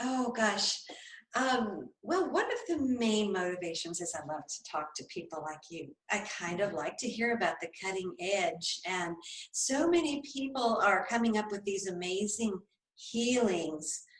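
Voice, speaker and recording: A woman's medium-pitched voice at a fairly slow pace, with very wide pitch swings. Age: 60s. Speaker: podcast host. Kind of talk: interview.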